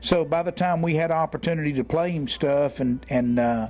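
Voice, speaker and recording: This man has a normal speaking voice. He talks at a moderate pace with ordinary pitch variation. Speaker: country singer. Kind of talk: interview answer.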